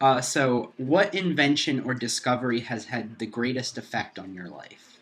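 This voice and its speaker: Medium pitch from a man at a moderate pace, with lively intonation and big swings in loudness. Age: 20s. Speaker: student interviewing his grandfather. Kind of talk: family interview. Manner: hesitant.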